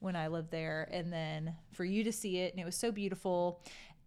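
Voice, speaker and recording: With a plain, everyday voice, a woman speaks at a fairly low pitch and with fairly even intonation on a very clean recording with a silent background. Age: 30s. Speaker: podcast host's wife. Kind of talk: casual chat. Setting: home kitchen.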